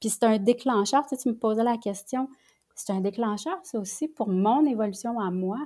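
In a Quebec accent, a woman with a fairly high pitch and a dark, mellow tone talks at a moderate pace with ordinary pitch variation, recorded very cleanly against a silent background. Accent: Québécois French. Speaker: lawyer and family mediator. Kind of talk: casual interview conversation. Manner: halting, repeats words.

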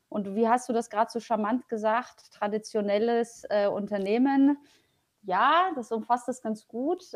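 A woman talks at a fairly slow pace, her fairly high pitch showing ordinary variation. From Poland, raised in Germany (Paderborn area). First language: Polish (speaking German). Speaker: public transport executive. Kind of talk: interview.

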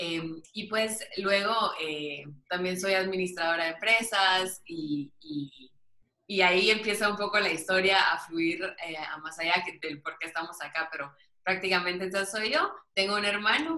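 Speaking fairly slowly, a woman of medium pitch uses a bright, sharp tone with ordinary pitch variation. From Guatemala City. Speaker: business administrator and book author. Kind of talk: interview.

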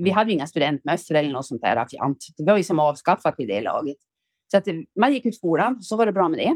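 In a dry, close sound with no echo on a very clean recording with a silent background, a woman with an ordinary speaking voice talks fairly quickly at a medium pitch with lively intonation. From Ångermanland, northern Sweden. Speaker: retired factory worker and author. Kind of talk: casual interview.

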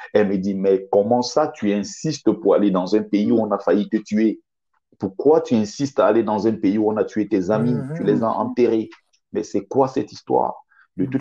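This man speaks at a moderate pace with a fairly low pitch and ordinary pitch variation. His tone is dark and mellow. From Cameroon. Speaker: author. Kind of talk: interview.

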